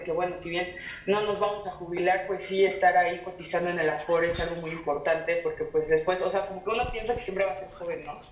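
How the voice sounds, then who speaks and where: Over noticeable background noise and audible room echo, a woman speaks very fast in a fairly low pitch with monotone, flat intonation. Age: 20s. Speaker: restaurant worker and activist. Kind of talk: panel discussion. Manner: halting, many fillers.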